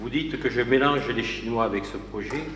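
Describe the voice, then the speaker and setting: There is audible room echo and light background noise. A man talks at a moderate pace. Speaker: opposition councillor. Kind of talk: council meeting. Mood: critical, argumentative. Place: hall. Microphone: podium.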